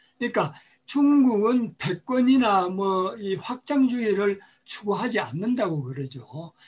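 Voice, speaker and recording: Lively intonation at a very slow pace. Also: man, high pitch for a man. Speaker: panel discussant. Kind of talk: panel discussion. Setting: video call.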